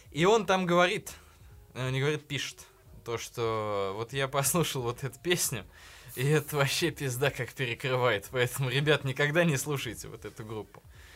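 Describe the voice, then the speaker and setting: A man with an ordinary speaking voice talks at a moderate pace and medium pitch. His pitch varies in an ordinary way, and the recording is very clean with a silent background. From provincial Russia. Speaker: podcast host. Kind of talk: casual chat. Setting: studio.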